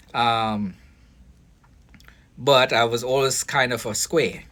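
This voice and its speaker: In a Caribbean accent, a man speaks at medium pitch in a very clean recording with a silent background. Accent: foreign (Caribbean). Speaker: vlogger, foster care worker and boxing coach. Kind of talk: casual monologue vlog. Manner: halting, many fillers and restarts.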